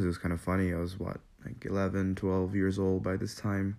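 Over a very clean recording with a silent background, a man speaks at a moderate pace in a very deep, low voice. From Nepal (born in Manila, Philippines). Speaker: podcast host. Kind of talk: casual solo monologue.

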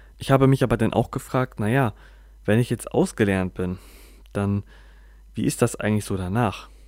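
A man speaks at a moderate pace and a medium pitch, with ordinary pitch variation. He takes long, frequent pauses on a very clean recording with a silent background. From northern Germany, Bremen. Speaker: podcaster. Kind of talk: personal monologue. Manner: halting, many filler sounds.

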